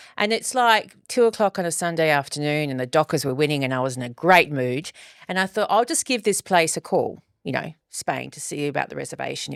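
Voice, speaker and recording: This woman has a very deep, low pitch with very wide pitch swings and big swings in loudness as she speaks at a fairly quick pace. The recording is very clean with a silent background and a dry, close sound with no echo. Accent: Australian. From Australia. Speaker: podcast co-host. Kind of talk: casual chat.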